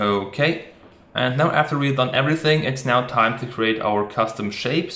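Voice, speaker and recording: A man with a medium-pitched voice talks at a moderate pace, with audible room echo. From Germany. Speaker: motion designer and tutorial creator. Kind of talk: software tutorial. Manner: casual, with frequent fillers.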